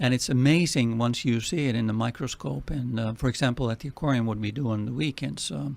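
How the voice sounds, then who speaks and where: In a strong Finnish accent, a man talks very fast with hardly any pauses. His pitch is medium and his intonation lively. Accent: heavy Finnish. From Finland. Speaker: nonprofit president. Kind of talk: radio interview.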